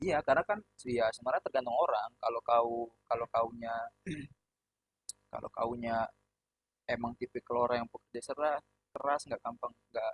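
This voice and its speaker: Long, frequent pauses break up a man's moderate-paced speech, which has a dry, close sound with no echo. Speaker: podcast host. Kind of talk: casual chat. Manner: loud; blunt tone, often taken as angry.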